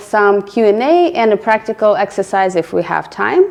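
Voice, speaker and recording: A woman with a fairly high pitch and a fairly slow pace. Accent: slight non-native. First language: not English. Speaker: product manager, meetup speaker. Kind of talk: presentation. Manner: hesitant, with filler words.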